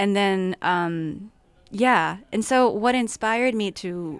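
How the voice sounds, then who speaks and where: With a Japanese accent, a woman speaks in a medium pitch with ordinary pitch variation against a quiet background. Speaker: filmmaker and actor. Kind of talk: casual interview.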